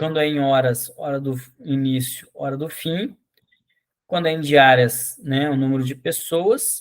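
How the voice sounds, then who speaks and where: A man speaks at a fairly slow pace with fairly even intonation. He has a fairly high pitch and an ordinary speaking voice. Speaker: agroforestry course instructor. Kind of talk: online lecture.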